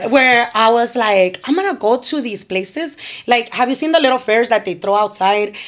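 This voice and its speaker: Noticeable background noise sits under a woman's fairly high-pitched voice. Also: lively intonation, moderate pace. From Chicana, Mexican-American. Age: 30s. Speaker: nonprofit founder, formerly incarcerated. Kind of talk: podcast interview answer. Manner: energetic, upbeat.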